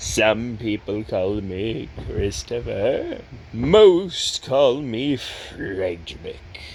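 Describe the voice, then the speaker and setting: Putting on a character voice, a man talks at a very slow pace with clear background noise behind him. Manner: formal, courteous.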